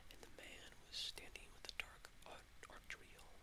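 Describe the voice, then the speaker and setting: Whispering at a fairly slow pace, the speaker uses a soothing tone. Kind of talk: novel reading.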